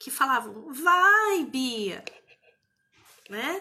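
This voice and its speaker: A woman projects her voice with very wide pitch swings. Her tone is warm yet bright and sharp. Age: 50s. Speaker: therapist and mentor. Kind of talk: live stream talk. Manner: warm, conversational.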